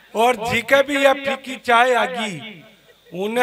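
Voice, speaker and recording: A man's pitch rises and falls in an ordinary way, with noticeable noise in the background. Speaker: comic poet. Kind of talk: stage comic storytelling at a poetry gathering.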